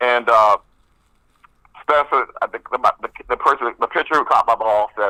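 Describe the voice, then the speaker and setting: A man's voice at a moderate pace with long, frequent pauses, in dry, close sound with no echo. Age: 60s. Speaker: union president. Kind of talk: casual chat. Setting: live radio show. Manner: animated.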